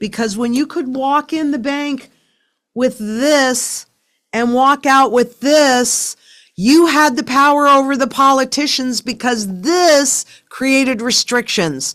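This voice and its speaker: A woman's high voice at a very slow pace, with ordinary pitch variation, in a very clean recording with a silent background. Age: 70s. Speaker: sound money advocate, company founder. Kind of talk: interview conversation. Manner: emphatic.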